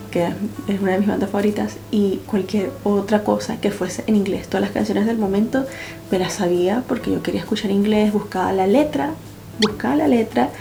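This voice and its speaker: In a Venezuelan accent, a woman talks at medium pitch and a moderate pace with ordinary pitch variation and very even loudness, over noticeable background noise. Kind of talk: casual talk to camera.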